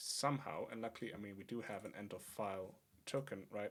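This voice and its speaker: A man with a fairly low pitch speaks at a moderate pace, with ordinary pitch variation and a slight non-native accent. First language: not English. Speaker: programming streamer. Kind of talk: live coding stream. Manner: thinking aloud, hesitant with fillers.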